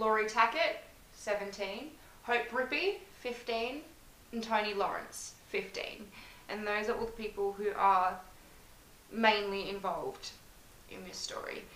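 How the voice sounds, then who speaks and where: A woman with an Australian accent, fairly high in pitch with ordinary variation, at a fairly slow pace over noticeable background noise. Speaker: podcast host. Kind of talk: true crime storytelling.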